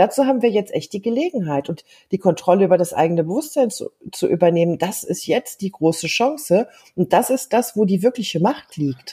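A woman's somewhat breathy, dark and mellow voice at a medium pitch, at a fairly quick pace with very wide pitch swings. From Germany. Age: 50s. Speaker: life coach. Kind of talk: casual interview.

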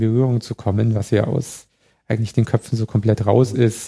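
A man with a medium-pitched voice speaks in a dark, mellow tone with flat, monotone intonation. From Bavaria, Chiemgau. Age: 30s. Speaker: electromobility expert. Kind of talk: casual interview.

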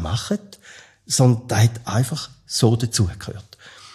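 A man speaks at a medium pitch and a fairly slow pace. His voice is somewhat breathy. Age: 60s. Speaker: lecturer and podcast host. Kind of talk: expert interview.

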